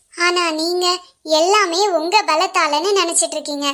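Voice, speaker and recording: In a cartoonish character voice pitched extremely high, a woman speaks at a fairly slow pace with fairly even intonation. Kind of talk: puppet show drama.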